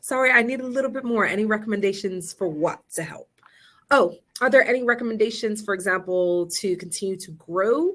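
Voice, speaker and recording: A woman speaks in a normal speaking voice at a fairly high pitch with ordinary pitch variation. Her pace is fairly quick, with big swings in loudness. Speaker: family therapist and presenter. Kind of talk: webinar presentation. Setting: virtual session.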